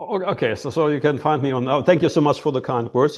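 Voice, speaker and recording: A man with a German accent speaks at a fairly high pitch. His pitch varies in an ordinary way over a quiet background. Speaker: healer, former oncologist. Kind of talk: interview. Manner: halting, many fillers.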